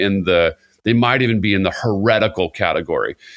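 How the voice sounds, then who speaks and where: A man with an American accent and a plain, everyday voice speaks with fairly low pitch and fairly even intonation on a very clean recording with a silent background. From Southern California, Costa Mesa. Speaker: worship pastor. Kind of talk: casual conversation.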